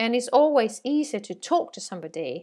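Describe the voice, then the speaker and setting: With a Swedish accent, a woman speaks at a high pitch and a moderate pace. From Sweden. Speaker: sales trainer. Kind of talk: training course lecture. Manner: halting, many fillers.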